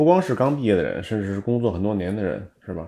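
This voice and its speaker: A man at a very fast pace, fairly low-pitched with a dark, mellow tone and ordinary pitch variation. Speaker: entrepreneur. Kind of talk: casual chat. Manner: many filler sounds.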